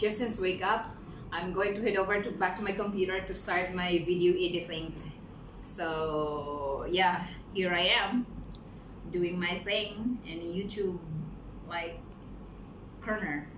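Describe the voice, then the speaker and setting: The speaker leaves long, frequent pauses with fairly even intonation. Noticeable background noise runs underneath. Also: woman. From Philippines. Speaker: vlogger. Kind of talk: casual vlog narration. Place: home room. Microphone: phone near.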